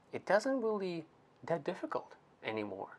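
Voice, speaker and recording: Speech here moves at a fairly slow pace. It comes with a non-native accent. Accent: foreign. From outside the US. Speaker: co-host of a marriage talk show. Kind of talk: casual chat. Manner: halting.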